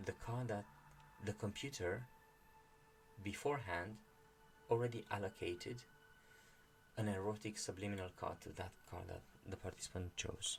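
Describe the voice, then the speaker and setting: Speaking at a moderate pace with fairly even intonation, a man with a fairly low pitch leaves long, frequent pauses. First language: not English. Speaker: channel host reading and discussing a meditation book. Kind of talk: explanatory monologue. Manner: halting, many fillers and restarts.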